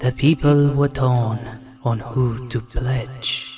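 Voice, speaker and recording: A man talks with monotone, flat intonation. His pitch is medium. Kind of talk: dramatic epic narration. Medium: machinima. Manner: grave, archaic inverted phrasing.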